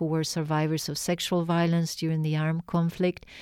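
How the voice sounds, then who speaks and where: On a very clean recording with a silent background, a woman speaks in a fairly low voice with monotone, flat intonation. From Argentina. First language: Spanish. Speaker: artist and art professor. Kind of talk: interview. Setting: radio studio.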